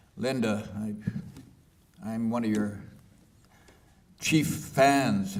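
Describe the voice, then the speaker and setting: A man of medium pitch with a Canadian accent speaks amid audible room echo. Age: 80s+. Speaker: author and peace activist. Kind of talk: book launch talk.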